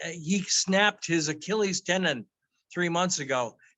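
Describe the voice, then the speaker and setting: Speaking at a moderate pace, a man with a high voice uses ordinary pitch variation. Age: 60s. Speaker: stroke survivor. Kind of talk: casual chat.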